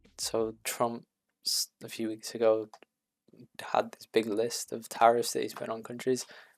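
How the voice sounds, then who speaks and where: Someone with a British accent speaks at a fairly slow pace. The recording is very clean with a silent background, and the sound is dry and close with no echo. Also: man. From UK. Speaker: reaction video creator. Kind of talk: casual commentary. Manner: hesitant, filler-heavy.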